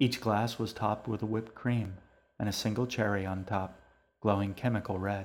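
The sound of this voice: Unforced reading with fairly even intonation.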